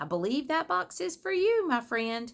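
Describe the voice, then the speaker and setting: At a moderate pace, a woman does a put-on character voice, high-pitched, with very wide pitch swings. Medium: read story. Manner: casual, wry.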